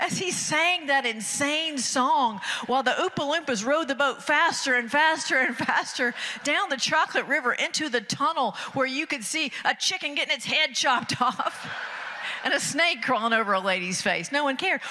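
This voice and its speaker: A woman with an American accent, high-pitched and raised in a projected voice, lively in intonation at a moderate pace, against a quiet background. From Athens, Georgia, US. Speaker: stand-up comedian. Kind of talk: stand-up comedy bit. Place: stage. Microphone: handheld.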